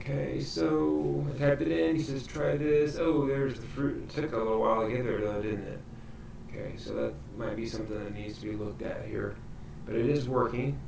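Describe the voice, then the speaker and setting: A man talks at a fairly quick pace with very wide pitch swings. Audible room echo and noticeable background noise surround his voice. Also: medium pitch for a man. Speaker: library coding instructor. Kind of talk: tutorial.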